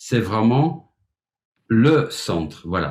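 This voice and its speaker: A man at a medium pitch and a very slow pace. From Flemish Belgium. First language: Flemish (Dutch) (speaking French). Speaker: music teacher, piano pedagogue. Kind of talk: webinar presentation. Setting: online webinar. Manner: hesitant, with filler words.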